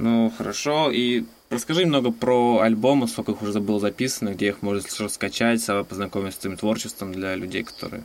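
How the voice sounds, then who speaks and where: The man's medium pitch carries ordinary variation as he talks fairly quickly. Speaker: podcast host. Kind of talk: interview. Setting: Skype call.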